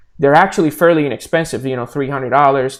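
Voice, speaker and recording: This man speaks with a Puerto Rican accent. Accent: Puerto Rican Spanish accent, noticeable. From Puerto Rico. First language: Spanish. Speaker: blockchain developer. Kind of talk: live stream Q&A. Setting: live video stream. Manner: hesitant, repeats words often.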